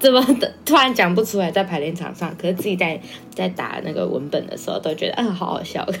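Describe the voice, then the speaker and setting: Over music in the background, a woman talks at a very fast pace in a medium pitch with lively intonation. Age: 20s. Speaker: performance artist. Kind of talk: casual chat.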